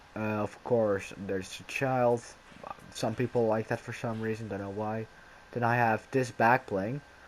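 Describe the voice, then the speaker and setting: Against noticeable background noise, a man speaks at a fairly slow pace with a medium pitch and monotone, flat intonation. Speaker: gaming youtuber. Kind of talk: casual gameplay commentary.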